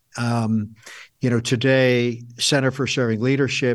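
A man with a normal speaking voice, medium pitch and fairly even intonation, in a quiet background. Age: 60s. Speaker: author and leadership consultant. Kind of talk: interview.

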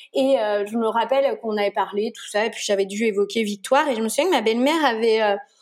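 Talking at a very fast pace with hardly any pauses, a woman with a fairly high pitch shows big swings in loudness and ordinary pitch variation. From Brittany, France. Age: 30s. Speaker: pediatric nurse and mother. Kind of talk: casual interview. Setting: remote call. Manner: chatty, hesitant with fillers.

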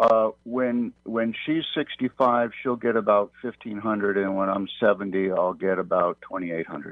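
Speaking in a normal speaking voice with an American accent, a man talks at a moderate pace with a fairly low pitch and ordinary pitch variation. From North Carolina. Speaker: caller, small business owner. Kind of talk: phone-in call. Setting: phone call.

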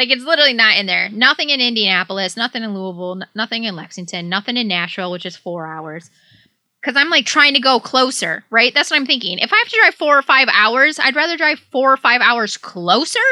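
Very fast speech in a Midwestern US accent, with very wide pitch swings. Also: woman, high pitch for a woman. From southeast Michigan, Detroit area. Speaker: podcast co-host. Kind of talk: casual chat.

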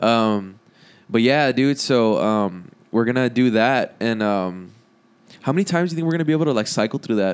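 This man has an American accent and a normal speaking voice. His pitch is medium and his intonation is lively. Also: fairly quick pace, very clean recording, silent background. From South Texas. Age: 20s. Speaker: guitarist and singer in a band. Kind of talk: casual chat.

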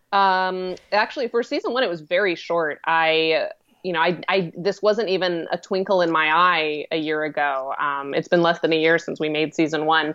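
Using an ordinary speaking voice, a woman with an American accent talks at a moderate pace with a fairly low pitch and ordinary pitch variation. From Colorado, US. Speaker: web series creator and actress. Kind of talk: casual interview.

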